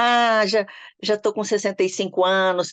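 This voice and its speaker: A woman at a moderate pace with fairly even intonation, in a dry, close sound with no echo. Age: 60s. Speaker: customer. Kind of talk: testimony.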